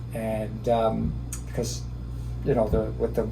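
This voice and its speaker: A man's moderate-paced speech carries audible room echo, with noticeable background noise underneath. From Canada, Cape Breton, Nova Scotia. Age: 60s. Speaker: real estate agent. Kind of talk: interview. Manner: relaxed, hesitant with fillers.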